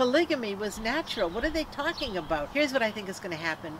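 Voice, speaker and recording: A woman speaks with very wide pitch swings. Noticeable background noise can be heard. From Canada. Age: 70s. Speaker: activist and former comedian. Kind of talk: interview. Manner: animated.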